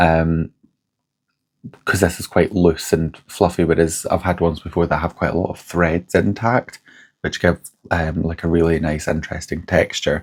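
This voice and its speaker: A man speaks at a moderate pace in a very deep, low pitch. The recording is very clean, with a silent background. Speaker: fibre crafts vlogger. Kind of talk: casual vlog. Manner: casual, hesitant with many ums.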